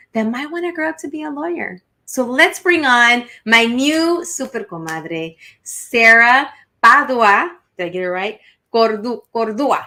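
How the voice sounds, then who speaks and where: A woman with a Spanish accent has a high-pitched, bright, sharp tone, with very wide pitch swings and big swings in loudness. The recording is very clean, with a silent background. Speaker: podcast host. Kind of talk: casual interview. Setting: live stream.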